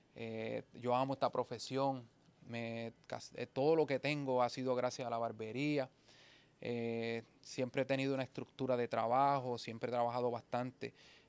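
A man's monotone, flat delivery at a moderate pace, with dry sound and no echo. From Puerto Rico, rural. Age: 40s. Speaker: barber; podcast guest. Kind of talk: casual interview chat. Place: shop. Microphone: studio mic.

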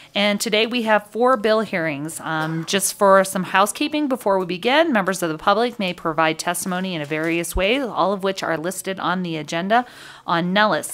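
A woman talks at a fairly quick pace, hardly pausing at all. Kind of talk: meeting procedure, chairing a hearing. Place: hall. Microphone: podium.

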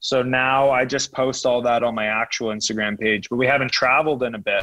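A man with a Canadian accent speaks at a moderate pace with fairly even intonation and a bright, sharp tone. The sound is dry with no echo, against a quiet background. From Toronto, Canada. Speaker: rugby sevens player; podcast guest. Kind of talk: interview. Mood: relaxed, chatty. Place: home room. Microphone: earbuds.

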